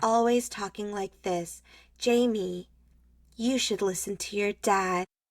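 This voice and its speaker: This is a put-on character voice that sounds female, breathy and medium in pitch for a woman. It moves at a fairly slow pace. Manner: affected, posh, breathy magazine-interview voice.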